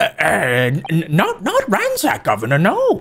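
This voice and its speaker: A man puts on a character voice. He speaks at a fairly slow pace. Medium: video game. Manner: nervous, stammering.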